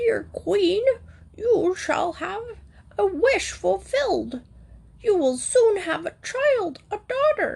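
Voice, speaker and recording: In a put-on character voice pitched extremely high, the speaker goes at a very slow pace with long, frequent pauses. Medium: read story. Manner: formal, kindly.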